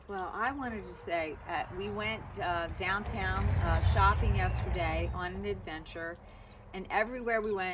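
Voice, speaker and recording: A woman speaks at a fairly slow pace against noticeable background noise. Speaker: love coach. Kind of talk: interview host talk.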